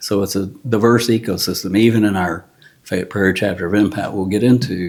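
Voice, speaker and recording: The delivery comes in a Texan accent at a fairly quick pace. Intonation stays fairly even. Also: man, fairly low pitch for a man. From Texas, Houston area. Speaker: retired contractor and landowner. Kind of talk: interview. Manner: easygoing, conversational.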